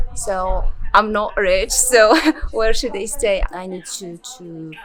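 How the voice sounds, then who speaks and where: A woman speaks at a very slow pace. Noticeable background noise runs beneath her voice. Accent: Moroccan. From rural Morocco. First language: Berber. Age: 20s. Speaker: former student of an NGO. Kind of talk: interview. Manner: halting, many fillers and repetitions.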